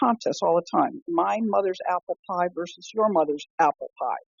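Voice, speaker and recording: A woman's voice with vocal fry. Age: 70s. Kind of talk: casual conversational interview. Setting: phone call. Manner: halting, with many fillers and restarts.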